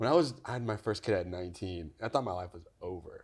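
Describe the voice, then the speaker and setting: A man with an American accent, animated in tone and fairly quick in pace, on a very clean recording with a silent background. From California Central Valley (Newman). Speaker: creative director and DIY content creator. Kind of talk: casual interview chat.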